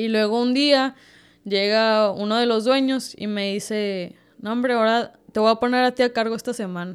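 A woman speaks at a moderate pace in a fairly high pitch with ordinary pitch variation. It is a plain, everyday voice on a very clean recording with a silent background. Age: 20s. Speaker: baker and bakery owner. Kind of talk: casual interview.

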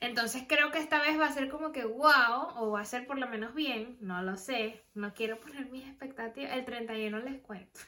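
The speech runs at a moderate pace with hardly any pauses over noticeable background noise. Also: woman, high pitch for a woman, ordinary pitch variation. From Venezuela. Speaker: podcast host. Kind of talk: casual chat.

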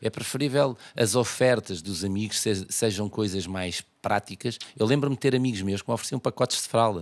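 A man with a plain, everyday voice talks at a fairly quick pace and fairly low pitch, with ordinary pitch variation and hardly any pauses, in a dry, close sound with no echo. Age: 40s. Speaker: tailor. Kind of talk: casual chat.

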